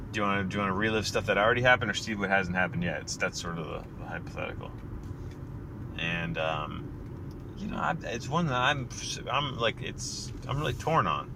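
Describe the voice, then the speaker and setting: With an American accent, a man talks at a fairly quick pace in a fairly low voice with very wide pitch swings, amid noticeable background noise and audible room echo. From US. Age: 30s. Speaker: podcaster. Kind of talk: casual monologue. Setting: in a car.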